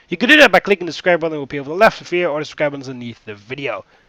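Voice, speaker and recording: A man speaks with a high pitch and lively intonation. Music plays in the background. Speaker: gaming youtuber. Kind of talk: let's play commentary. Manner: hesitant with fillers.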